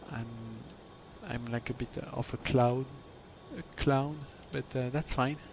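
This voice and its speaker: The speech moves at a fairly slow pace in a flat monotone, broken by long, frequent pauses. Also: man, medium pitch for a man. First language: French. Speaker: flight sim streamer. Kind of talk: casual chat. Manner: halting.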